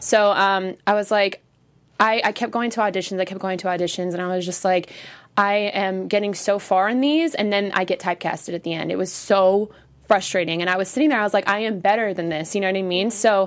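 A woman with an American accent, a normal speaking voice, medium pitch, ordinary pitch variation and a fairly quick pace. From San Francisco Bay Area, California. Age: 20s. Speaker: dancer and choreographer. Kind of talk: casual interview chat. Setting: studio.

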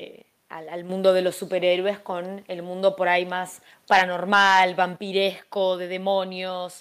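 A woman with a medium-pitched voice speaks fairly slowly. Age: 20s. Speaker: YouTuber. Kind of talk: casual chat. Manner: halting, repeats words.

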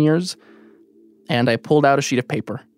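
Music plays in the background as a man talks at a very fast pace with a fairly high pitch in a dry, close sound with no echo. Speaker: radio producer and storyteller. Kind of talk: personal storytelling narration.

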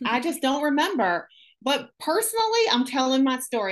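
The woman's voice is high-pitched. She speaks at a moderate pace against a quiet background. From Syracuse, upstate New York. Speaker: guest, anti-trafficking survivor advocate and ministry worker. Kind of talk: casual interview conversation.

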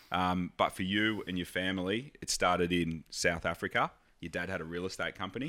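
On a very clean recording with a silent background, a man with a very deep, low voice and a bright, sharp tone talks at a fairly quick pace with fairly even intonation. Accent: Australian. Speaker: podcast host. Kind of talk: casual chat.

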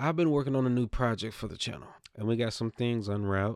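A man speaks in an animated tone at a fairly quick pace. The recording is very clean, with a silent background. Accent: Southern US. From US South. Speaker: gaming podcast host. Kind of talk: casual chat.

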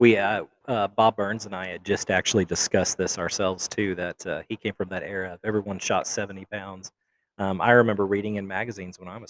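In a very clean recording with a silent background and a dry, close sound with no echo, a fairly low-voiced man talks at a fairly quick clip in a flat monotone, his loudness swinging widely. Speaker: podcast host. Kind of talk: casual interview. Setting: live at a festival, in a lobby.

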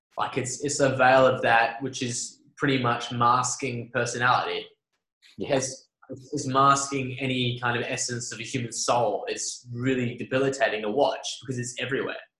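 A man at medium pitch with an Australian accent, monotone and flat, at a moderate pace, with audible room echo. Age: 20s. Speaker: podcast host. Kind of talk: casual chat.

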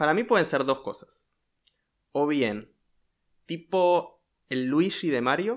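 A man's fairly high voice in a Rioplatense accent, very slow with long, frequent pauses and lively intonation, on a very clean recording with a silent background. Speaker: podcast host. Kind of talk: storytelling chat.

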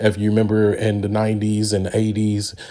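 A man's fairly low-pitched voice, dark and mellow in tone, on a very clean recording with a silent background. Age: 30s. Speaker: podcast host. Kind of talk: monologue commentary. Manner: halting.

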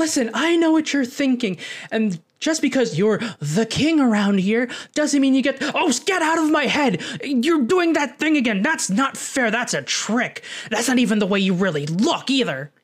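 A female-sounding, put-on character voice comes through at a high pitch and a moderate pace. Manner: argumentative, rising to panicked shouting.

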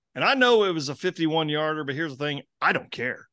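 Against a quiet background, a man with an American accent speaks in a plain, everyday voice, fairly high in pitch. His intonation is lively, and the sound is dry and close with no echo. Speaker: sports podcast host. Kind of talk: casual chat.

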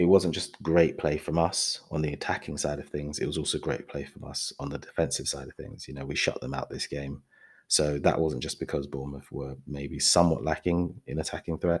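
A man with a very deep, low voice and vocal fry talks at a fairly quick pace with hardly any pauses. His loudness swings widely. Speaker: football podcast host. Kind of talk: solo football match review podcast, with a play-by-play tactical breakdown around 17:23. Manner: conversational and fluent, describing the action in vivid detail; enthusiastic and upbeat, with fan-like energy.

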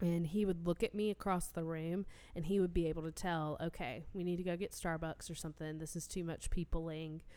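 A woman with an American accent talks at a fairly quick pace with hardly any pauses, her fairly low, dark, mellow voice holding a fairly even intonation. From North Carolina, near Raleigh. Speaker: podcast co-host. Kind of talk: casual chat. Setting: home recording with spouse.

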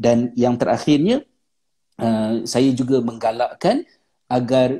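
A man's medium-pitched voice, dark and mellow in tone, at a fairly slow pace. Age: 40s. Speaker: religious teacher and author. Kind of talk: online talk with Q&A. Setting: live video stream.

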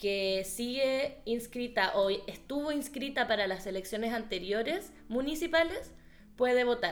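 Chilean accent, fairly slow pace and lively intonation. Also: woman. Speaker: podcast host. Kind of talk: casual chat.

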